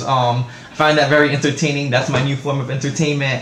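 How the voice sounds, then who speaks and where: With a New York accent, a man talks at a moderate pace and fairly even intonation over noticeable background noise and audible room echo. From New York City, the Bronx. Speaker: vlogger. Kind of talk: casual vlog monologue. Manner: hesitant, many fillers.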